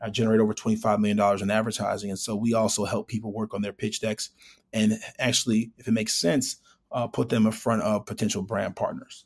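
With a Chicago accent, a man talks very fast in a fairly low, flat, monotone voice. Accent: Chicago American. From Chicago, US Midwest. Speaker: startup founder and CEO. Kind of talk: interview.

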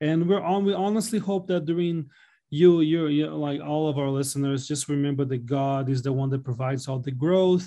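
At a moderate pace, a man speaks with a dark, mellow tone and a fairly high pitch. His intonation stays fairly even.

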